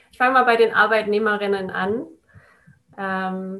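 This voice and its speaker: A woman's medium-pitched voice, bright and sharp in tone, with flat, monotone intonation. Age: young. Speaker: consultant on work culture and storytelling. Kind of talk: casual interview.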